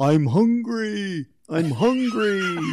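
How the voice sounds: A man speaks in a put-on character voice pitched high.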